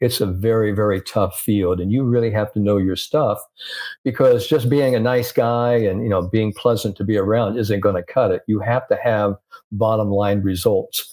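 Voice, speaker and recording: The speech moves at a moderate pace, with a dark, mellow tone and fairly even intonation. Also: man. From US Midwest (Indiana). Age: 70s. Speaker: sports psychologist. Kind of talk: interview.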